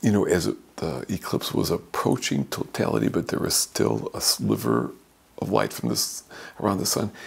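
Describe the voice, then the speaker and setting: A man with a very deep, low pitch and vocal fry talks at a moderate pace, his pitch swinging very widely. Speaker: priest. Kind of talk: sermon. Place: office.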